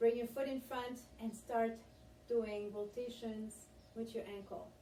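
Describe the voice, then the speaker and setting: Over noticeable background noise, a woman with a French accent speaks in an upbeat tone at a fairly high pitch and a fairly slow pace. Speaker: fitness instructor. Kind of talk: guided exercise class. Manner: encouraging, upbeat.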